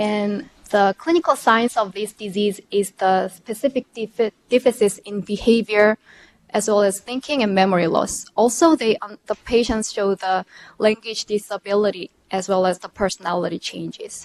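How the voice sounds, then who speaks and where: A woman with a Korean accent, medium pitch, ordinary pitch variation and a moderate pace, in a dry, close recording with no echo. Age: 30s. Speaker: PhD candidate. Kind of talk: lecture. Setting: video link to remote audience. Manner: halting.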